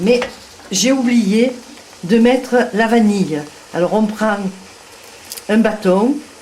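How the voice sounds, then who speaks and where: A woman talks with a Provençal accent and ordinary pitch variation. Noticeable background noise is present. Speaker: home cook. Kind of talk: cooking demonstration.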